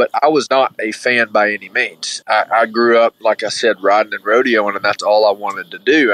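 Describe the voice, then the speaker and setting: A man with a Southern US accent at a moderate pace, in a dry, close sound with no echo. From Alabama. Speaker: former college mascot rider. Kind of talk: interview.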